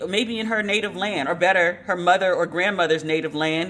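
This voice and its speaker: Speaking at a fairly quick pace in an American accent, a woman has a medium-pitched, animated voice with a bright, sharp tone. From United States. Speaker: podcast host. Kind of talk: casual commentary podcast.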